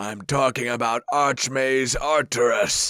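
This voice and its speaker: A man puts on a character voice, pitched at a medium level and delivered at a fairly slow pace. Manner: cackling, domineering.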